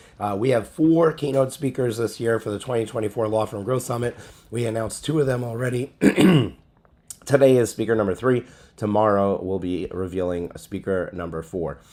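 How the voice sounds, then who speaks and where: Here a man talks at medium pitch in a dark, mellow tone. His pitch varies in an ordinary way. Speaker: legal business event host. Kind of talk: announcement video. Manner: halting with fillers.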